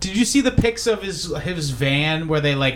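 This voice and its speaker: There is noticeable background noise as the man talks. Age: 30s. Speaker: podcast host. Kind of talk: casual chat. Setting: birthday party.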